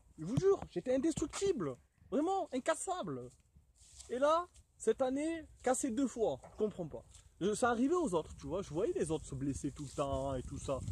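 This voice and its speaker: A man's high-pitched, animated voice at a moderate pace, with very wide pitch swings. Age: 20s. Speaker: vlogger. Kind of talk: casual vlog rant.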